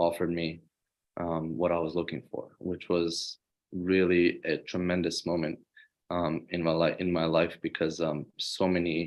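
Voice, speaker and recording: Monotone, flat intonation from a man with a very deep, low pitch. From Serbia (Belgrade). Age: 20s. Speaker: student athlete. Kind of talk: interview. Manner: halting, many fillers.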